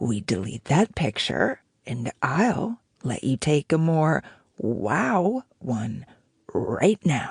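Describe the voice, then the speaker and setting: This is a put-on character voice, husky and low-to-middle in pitch. It moves at a very slow pace. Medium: read story.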